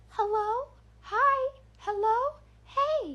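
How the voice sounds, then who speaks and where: The voice is an act, a put-on character. It sits extremely high in pitch. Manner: calling out eerily, circling.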